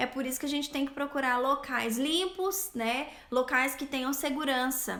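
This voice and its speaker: A woman's high, bright, sharp voice, raised and projected. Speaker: eyelash extension specialist and instructor. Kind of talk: live stream Q&A. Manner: stumbling, stammering.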